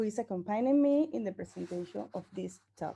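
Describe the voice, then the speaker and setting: Woman with a Venezuelan accent, dark, mellow tone and fairly quick pace. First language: Spanish. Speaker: researcher. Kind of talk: conference presentation. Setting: conference. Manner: halting.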